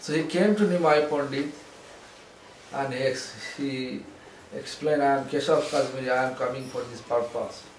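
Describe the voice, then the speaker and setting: With noticeable background noise and audible room echo, a man speaks at a fairly high pitch, with fairly even intonation and long, frequent pauses. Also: moderate pace. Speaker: spiritual teacher. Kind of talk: lecture.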